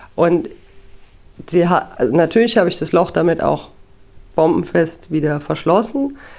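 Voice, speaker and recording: A woman speaks at a moderate pace with lively intonation and a fairly low pitch. Vocal fry runs through her voice. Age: 30s. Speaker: podcast host, photo lab technician and mother. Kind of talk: solo podcast monologue.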